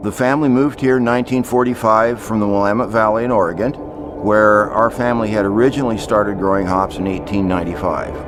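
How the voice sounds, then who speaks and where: A man talks at a very fast clip with hardly any pauses, his pitch fairly low. Noticeable background noise runs underneath. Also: ordinary pitch variation. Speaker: hop farmer. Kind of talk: interview monologue.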